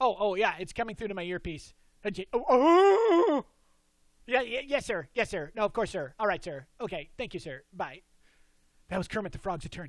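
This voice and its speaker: A cartoonish character voice, fairly high in pitch, at a moderate pace, on a very clean recording with a silent background. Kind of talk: improvised comedy talk show. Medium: puppet. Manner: upbeat.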